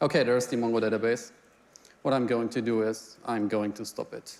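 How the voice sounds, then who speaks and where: This is a man speaking. He has a German accent. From Germany. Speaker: software engineer. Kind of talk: live demo presentation. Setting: stage with audience.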